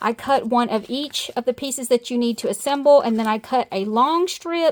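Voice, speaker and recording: Intonation from this woman is lively. She speaks at a fairly quick pace. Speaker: crafter. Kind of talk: tutorial. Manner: casual, hesitant with fillers.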